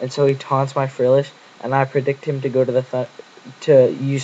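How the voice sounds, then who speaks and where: A man talks with monotone, flat intonation. There is noticeable background noise. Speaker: gaming commentator. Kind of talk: game commentary narration.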